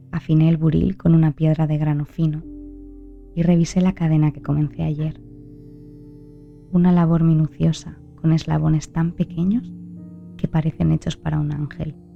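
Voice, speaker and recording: Soft-spoken woman's voice over background music, with long, frequent pauses. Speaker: narrator. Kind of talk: sleep story. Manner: slow.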